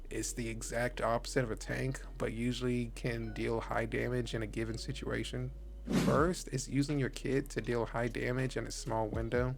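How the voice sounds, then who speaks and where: The speech moves at a moderate pace. There is audible echo from the room. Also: man. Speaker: gaming YouTuber. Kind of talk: tutorial. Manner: casual.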